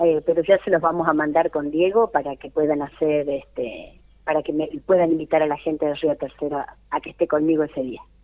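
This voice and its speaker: A woman's very deep, low voice with fairly even intonation, hardly any pauses and big swings in loudness. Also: fairly quick pace. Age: 50s. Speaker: folk singer. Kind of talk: radio interview. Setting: phone call.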